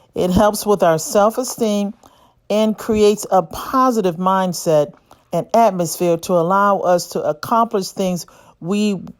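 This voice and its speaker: A woman uses a normal speaking voice at a fairly slow pace, with ordinary pitch variation, on a very clean recording with a silent background. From United States. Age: 60s. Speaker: physician and channel host. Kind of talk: scripted monologue.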